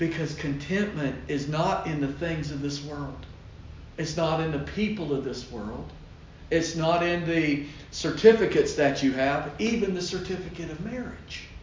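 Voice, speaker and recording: The speech moves at a moderate pace with ordinary pitch variation, and audible room echo can be heard. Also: man, fairly high pitch for a man. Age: 50s. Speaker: pastor. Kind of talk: sermon.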